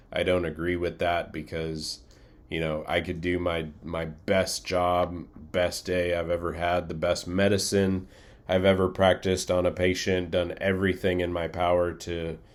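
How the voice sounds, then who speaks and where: This man has a very deep, low pitch and a monotone, flat intonation. He talks at a moderate pace with audible room echo. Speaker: flight crew training instructor. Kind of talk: recorded lecture. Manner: casual, many fillers.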